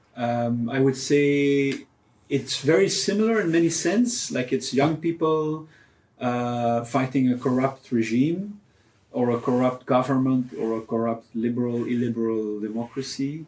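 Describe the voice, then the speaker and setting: A man with a Flemish accent at medium pitch, fairly slow pace, and ordinary pitch variation. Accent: Flemish Belgian English. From Belgium, Ghent. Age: 30s. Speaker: photojournalist. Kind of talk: interview. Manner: hesitant, many fillers.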